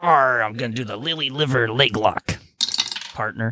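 A put-on character voice pitched low to middle. It moves at a moderate pace. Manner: playful.

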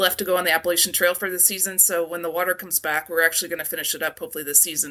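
A woman's bright, sharp, fairly low voice at a very fast pace with fairly even intonation. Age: 40s. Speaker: nutritionist and long-distance backpacker. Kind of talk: interview.

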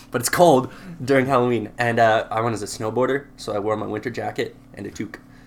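Against noticeable background noise, a man with a Canadian accent talks at a very fast pace with fairly even intonation. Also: medium pitch for a man. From Southern Alberta, Canada (Lethbridge). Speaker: guitarist. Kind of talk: casual chat.

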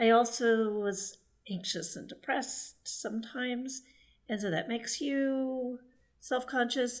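Speaking at a fairly slow pace, a woman uses a high pitch and talks with an American accent. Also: ordinary pitch variation. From Texas. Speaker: writer and former journalist. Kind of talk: podcast interview. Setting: remote call.

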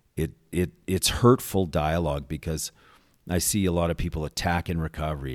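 A man with a Western Canadian accent speaks at a moderate pace in a very deep, low pitch. The recording is very clean, with a silent background. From Calgary, Alberta, Canada. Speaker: executive director of an addiction recovery centre. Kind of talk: casual interview. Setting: studio.

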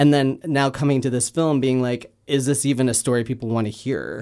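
The voice has a dark, mellow tone and monotone, flat intonation at a fairly quick pace. The recording is very clean, with a silent background. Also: man. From Canada. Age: 30s. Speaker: filmmaker and comedian. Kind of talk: casual interview.

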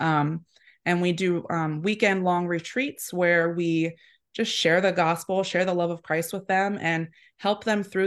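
With an American accent, a woman speaks in an ordinary speaking voice, fairly low in pitch with fairly even intonation. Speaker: apparel shop owner. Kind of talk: casual interview chat. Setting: live video call.

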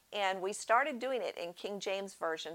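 A woman with a plain, everyday voice and an American accent speaks at a medium pitch and moderate pace, with ordinary pitch variation. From US Northeast. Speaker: podcast host, homeschooling mother. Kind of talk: encouraging talk to young mothers.

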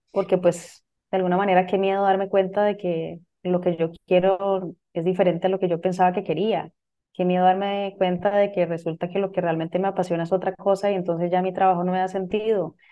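Fairly quick, monotone delivery with flat intonation. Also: woman, medium pitch for a woman. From Costa Rica. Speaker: business coach and astrologer. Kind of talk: casual interview.

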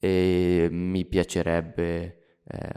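Very deep, low male voice, dark and mellow in tone, with fairly even intonation. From Lombardy, Italy (Monza area). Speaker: podcast co-author. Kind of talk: casual chat.

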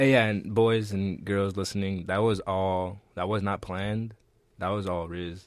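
Here is a man with a normal speaking voice and a fairly low pitch. His intonation is fairly even and his pace fairly slow. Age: 20s. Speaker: college student, fashion major. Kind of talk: casual chat.

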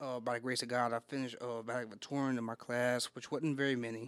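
With an American accent, a man speaks at a very fast pace. His intonation is monotone and flat. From Texas. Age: 20s. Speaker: former prisoner. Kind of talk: casual chat.

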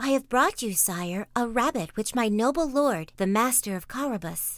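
A woman performs a put-on character voice. The recording is very clean, with a silent background. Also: fairly high pitch for a woman, moderate pace. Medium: read story. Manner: polite, courtly.

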